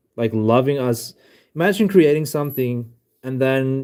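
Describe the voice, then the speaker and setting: Speaking at a moderate pace and medium pitch, a man with a non-native accent has a dark, mellow tone. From South Africa. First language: not English. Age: 20s. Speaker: livestreamer. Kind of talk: live stream chat. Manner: halting. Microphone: new mic.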